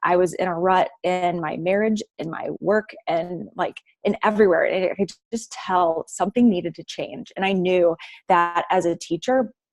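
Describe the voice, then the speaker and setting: A woman with an American accent and a plain, everyday voice, at a medium pitch, a moderate pace and ordinary pitch variation. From US Midwest, Saint Louis. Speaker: fitness coach, former teacher. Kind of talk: casual talk on a group call.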